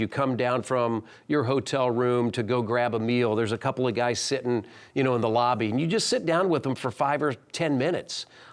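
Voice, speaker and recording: A man speaks at a moderate pace in a plain, everyday voice, medium in pitch, on a very clean recording with a silent background. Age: 60s. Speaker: basketball team broadcaster. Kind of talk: interview.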